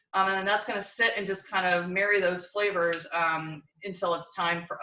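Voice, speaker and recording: A woman speaks loudly at a moderate pace. Her medium-pitched voice has a bright, sharp tone. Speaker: cooking show host. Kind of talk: cooking demonstration. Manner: animated.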